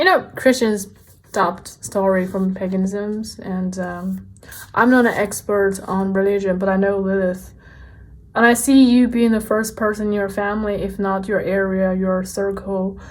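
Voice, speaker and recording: A woman's medium-pitched voice at a moderate pace, monotone and flat in intonation, with audible room echo. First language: not English. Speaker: tarot card reader. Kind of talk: tarot reading. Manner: casual, conversational.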